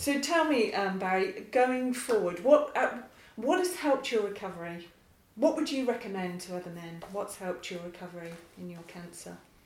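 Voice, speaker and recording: A woman's medium-pitched voice moves at a moderate pace with lively intonation and big swings in loudness, against noticeable background noise. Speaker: charity co-founder and podcast host. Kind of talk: casual interview.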